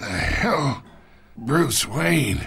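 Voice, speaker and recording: Putting on a raspy character voice, a man speaks at a medium pitch with very wide pitch swings. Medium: cartoon. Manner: smug, patronizing.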